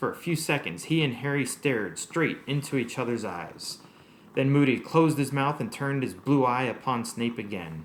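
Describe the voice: The passage is given as plain reading aloud. Someone reads it straight through.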